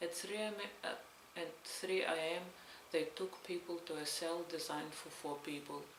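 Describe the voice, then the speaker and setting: Over noticeable background noise, a woman with a Belarusian accent speaks at a fairly slow pace. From Belarus, Stolin. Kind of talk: read story, testimony narration.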